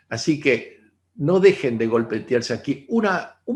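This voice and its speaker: Pitched fairly high, a man's somewhat breathy voice swings very widely in pitch. His pace is fairly slow. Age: 60s. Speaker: holistic therapist. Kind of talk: online talk.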